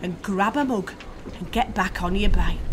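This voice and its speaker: Background noise can be noticed behind this woman. She talks at a moderate speed. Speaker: performance poet. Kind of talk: poetry reading.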